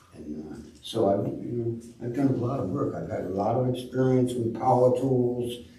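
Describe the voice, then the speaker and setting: A man talks at a moderate pace in a medium-pitched voice. An audible echo fills the room. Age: 70s. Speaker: shipwright. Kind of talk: talk to a club audience. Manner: halting, many fillers.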